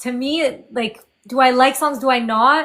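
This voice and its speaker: A woman with a French Canadian accent speaks in a high pitch with a bright, sharp tone and ordinary pitch variation, on a very clean recording with a silent background. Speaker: indie singer-songwriter. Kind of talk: interview.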